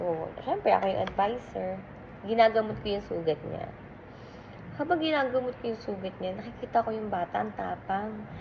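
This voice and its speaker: Noticeable background noise sits behind the speech. A woman talks with lively intonation. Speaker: teacher. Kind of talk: casual vlog storytelling.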